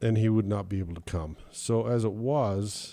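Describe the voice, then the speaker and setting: A man's fairly low, dark, mellow voice, relaxed in tone, at a moderate pace with ordinary pitch variation, in a very clean recording with a silent background. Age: 70s. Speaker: sailing podcast host. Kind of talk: casual podcast monologue. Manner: relaxed, conversational with fillers.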